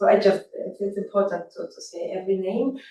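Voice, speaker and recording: A woman of medium pitch with a non-native accent. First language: not English. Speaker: event co-host, foundation representative. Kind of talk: closing remarks. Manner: halting.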